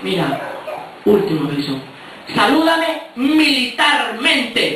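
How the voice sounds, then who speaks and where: A man projects his voice at an extremely high pitch, swinging very widely in pitch at a very slow pace. The room echoes audibly, with light background noise. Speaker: stand-up comedian. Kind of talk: stand-up comedy monologue. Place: hall.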